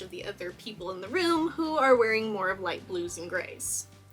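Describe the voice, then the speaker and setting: Amid noticeable background noise, a woman with an American accent speaks at a moderate pace with lively intonation. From Texas. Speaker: cosplayer and YouTuber. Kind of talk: video essay, film analysis. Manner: animated.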